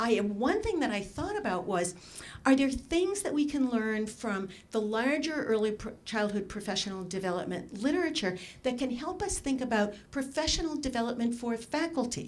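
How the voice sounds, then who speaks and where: Audible room echo surrounds a woman whose high voice moves through very wide pitch swings. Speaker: education researcher, conference discussant. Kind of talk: conference talk. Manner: fast.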